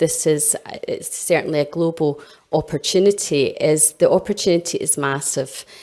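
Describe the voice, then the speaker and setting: A woman's dark, mellow voice, fairly low in pitch, at a moderate pace. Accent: Scottish. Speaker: health innovation director. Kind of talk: conference presentation.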